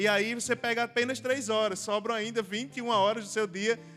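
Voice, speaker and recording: Bright and sharp in tone, this man's voice sits at a high pitch. He moves at a fairly quick pace with fairly even intonation. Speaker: preacher answering audience questions. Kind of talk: Q&A talk at church youth event.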